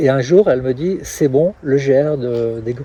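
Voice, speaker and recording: This man speaks with ordinary pitch variation. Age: 60s. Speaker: trail race organizer. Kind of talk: interview. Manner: halting.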